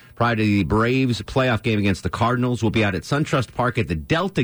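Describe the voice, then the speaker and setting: The voice has vocal fry and moves at a fairly quick pace with hardly any pauses. Loudness stays very even in a very clean recording with a silent background. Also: man. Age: 40s. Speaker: talk radio host. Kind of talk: radio talk show. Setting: studio. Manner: animated.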